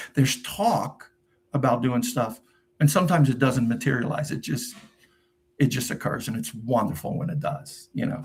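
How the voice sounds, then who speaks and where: Delivery comes at a moderate pace. A somewhat breathy quality marks the voice. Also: man, medium pitch for a man, ordinary pitch variation. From New Jersey, US (immigrant from Portugal at 9). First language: Portuguese. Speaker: YouTuber and tax preparer. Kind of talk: live stream Q&A, casual chat. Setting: live stream. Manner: casual, many fillers and restarts.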